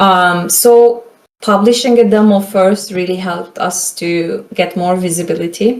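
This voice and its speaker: Her pitch sits at a medium level for a woman, with a Turkish accent. She speaks at a fairly slow pace. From Turkey (Istanbul). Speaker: game marketing consultant. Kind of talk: lecture. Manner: casual, filler-heavy.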